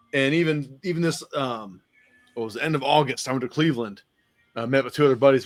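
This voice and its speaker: Music plays behind a man speaking at a fairly quick pace. His pitch is medium, with ordinary variation. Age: middle-aged. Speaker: podcast host. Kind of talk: casual chat. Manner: animated.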